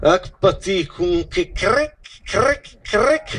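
A man speaks with a Romagnolo accent. His pace is very slow. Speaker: poetry reader. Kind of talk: poetry reading. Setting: outdoors. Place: stage. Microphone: handheld.

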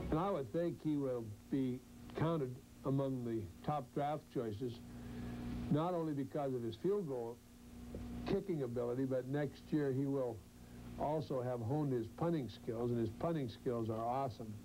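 A man's dark, mellow tone with ordinary pitch variation, a moderate pace and long, frequent pauses, over noticeable background noise. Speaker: college football head coach. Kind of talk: interview; interview answer. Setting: stadium sideline. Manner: emotional. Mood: calm, proud of player. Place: office.

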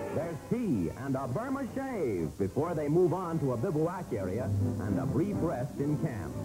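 A man with a fairly high pitch and very wide pitch swings, at a fairly slow pace with hardly any pauses, over music in the background. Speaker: newsreel narrator. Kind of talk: newsreel narration.

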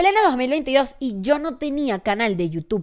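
Over a quiet background, a woman with a fairly high pitch speaks with very wide pitch swings. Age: 20s. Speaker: content creator. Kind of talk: casual monologue. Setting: home studio. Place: home room. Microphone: studio mic.

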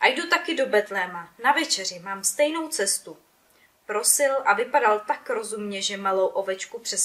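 The voice is a natural reading voice. It does not change from start to finish.

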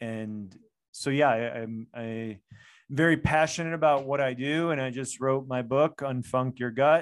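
Fairly slow and fairly even in intonation, a man speaks with an American accent. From US, Chicago. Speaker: functional medicine doctor. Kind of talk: interview. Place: home room. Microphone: studio mic.

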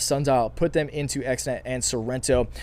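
A raspy, strained male voice with a slightly mellow tone.

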